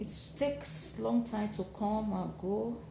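A woman speaks in a weary tone over noticeable background noise. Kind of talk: casual vlog chat. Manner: weary, low, labouring voice. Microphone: phone near.

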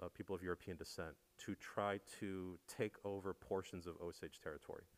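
An unremarkable speaking voice from a man, fairly low-pitched, at a fairly quick pace. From US Midwest. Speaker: moderator. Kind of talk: panel discussion. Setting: stage with audience. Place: hall. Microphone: handheld.

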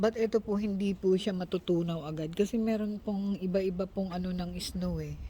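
This woman has a dark, mellow tone that is somewhat breathy, with fairly even intonation. She talks at a fairly quick pace with hardly any pauses. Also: medium pitch for a woman. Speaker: vlogger. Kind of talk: casual vlog narration.

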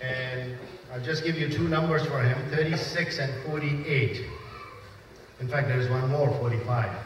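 A man speaks at a very slow pace, leaving long, frequent pauses. Noticeable background noise and audible room echo surround him. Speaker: master of ceremonies. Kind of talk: event emceeing. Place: church.

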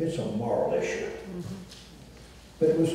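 A moderate pace in a Southern US accent, with strong echo from the room. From US South. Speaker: former state governor. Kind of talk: panel discussion. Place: stage.

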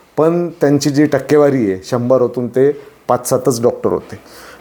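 Dark and mellow in tone, a man's voice sits at medium pitch with ordinary pitch variation. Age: 40s. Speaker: social commentator vlogger. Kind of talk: opinion monologue. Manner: impassioned.

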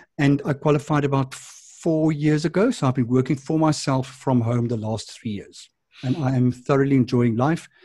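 A man's somewhat breathy, dark, mellow voice in a South African accent, at a moderate pace with ordinary pitch variation, dry with no echo over a quiet background. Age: 50s. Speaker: addiction and wellness counsellor. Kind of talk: interview. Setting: video call. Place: home room.

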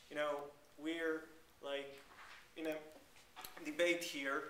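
With an Israeli accent, a man talks at a moderate pace amid light background noise and audible room echo. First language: Hebrew. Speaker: journalist and blogger. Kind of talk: panel debate. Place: classroom. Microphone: camera far.

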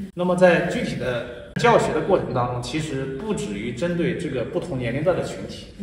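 There's audible room echo and light background noise as a man with a fairly high pitch speaks at a moderate pace, his pitch swinging very widely. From Jiaozuo, Henan, China; Henan, China. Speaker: tai chi teacher and school founder; tai chi teacher. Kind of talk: interview. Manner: serious, stern; formal. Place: garden.

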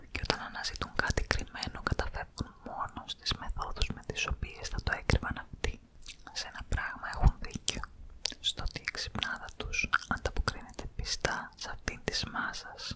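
A soft-spoken woman whispers at a fairly slow pace. Background noise is noticeable. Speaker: ASMR reader. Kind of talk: soft-spoken reading of a story. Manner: soft close-mic ASMR whisper. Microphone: studio mic.

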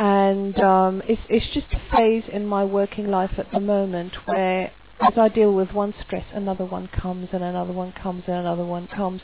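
Speaking at a moderate pace, a woman keeps her intonation fairly even. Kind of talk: casual vlog chat. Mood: stressed, reflective. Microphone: headset.

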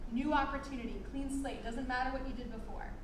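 Noticeable background noise runs through the recording, and audible room echo can be heard. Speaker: yoga instructor. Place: gym. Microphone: camera far.

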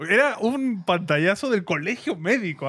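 A man speaks with a Peruvian accent. The background is quiet. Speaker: podcast host. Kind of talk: casual chat. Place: studio. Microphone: studio mic.

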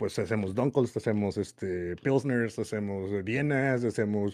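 Over a quiet background, a man with a dark, mellow tone speaks fairly slowly with ordinary pitch variation. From Mexico, Monterrey; Nuevo León, Mexico. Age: 40s. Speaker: homebrewer and youtuber; youtuber. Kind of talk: casual interview. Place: home room. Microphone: studio mic.

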